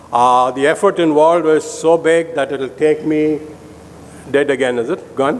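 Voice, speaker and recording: A man's fairly high voice at a moderate pace, with ordinary pitch variation and noticeable background noise. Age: 70s. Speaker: surgeon giving a lecture. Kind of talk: lecture.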